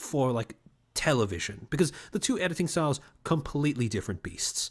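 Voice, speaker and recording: In a very clean recording with a silent background, a man speaks with lively intonation and a somewhat breathy voice. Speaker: streamer recounting university experience. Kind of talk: casual livestream monologue. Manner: sardonic, sarcastic tone; casual, filler-heavy.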